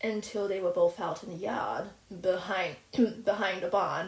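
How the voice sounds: Lively intonation in a natural reading voice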